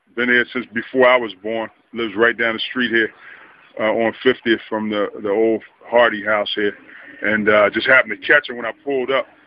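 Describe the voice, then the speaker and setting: The voice comes with an American accent. Its intonation is monotone and flat. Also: man, medium pitch for a man, moderate pace. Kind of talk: casual interview questions. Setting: outdoors.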